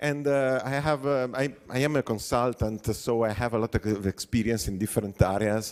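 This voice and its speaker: With an Italian accent, a man speaks at a moderate pace and medium pitch with ordinary pitch variation and hardly any pauses, in a very clean recording with a silent background. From Italy. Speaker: software consultant and conference speaker. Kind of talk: conference talk. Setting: stage with audience. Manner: hesitant, many fillers; animated.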